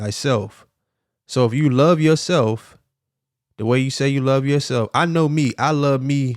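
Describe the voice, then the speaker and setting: Heard on a very clean recording with a silent background, an unremarkable speaking voice with an American accent moves at a moderate pace with ordinary pitch variation. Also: man. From US South, South Miami, Florida. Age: 40s. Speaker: podcast host and life coach. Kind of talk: motivational talk. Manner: casual, conversational.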